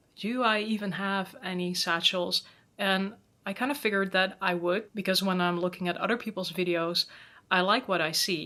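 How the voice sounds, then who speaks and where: With a Dutch accent, a woman speaks at a moderate pace in a bright, sharp tone, her medium pitch carried by fairly even intonation. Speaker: handbag vlogger. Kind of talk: product review vlog. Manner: casual.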